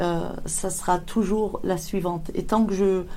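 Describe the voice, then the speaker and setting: Dark, mellow tone from a woman, with audible room echo. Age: 50s. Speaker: ceramic artist. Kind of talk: interview. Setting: workshop. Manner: halting.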